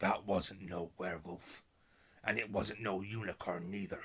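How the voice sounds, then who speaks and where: A man puts on a raspy, gruff character voice with a West Country accent. It sits very deep and low, in a monotone, flat intonation. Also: moderate pace. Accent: rural West Country dialect. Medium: read story. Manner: gruff, plain-spoken.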